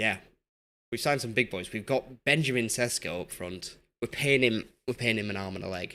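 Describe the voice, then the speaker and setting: Against a silent background on a very clean recording, a man speaks at a fairly quick pace with a medium pitch and a bright, sharp tone. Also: ordinary pitch variation. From Yorkshire, northern England. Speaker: gaming streamer. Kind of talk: live game stream chat. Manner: casual, rambling with repetitions.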